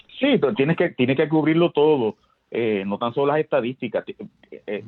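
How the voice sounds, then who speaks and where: Music plays in the background as someone talks at a very fast pace with lively intonation. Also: man. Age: 60s. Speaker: sports historian. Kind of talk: interview.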